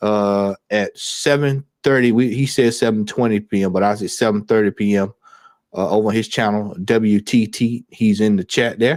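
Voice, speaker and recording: In a Southern US accent, a man of medium pitch talks at a moderate pace on a very clean recording with a silent background. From US South, Georgia. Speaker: football fan YouTuber. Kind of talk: live stream chat.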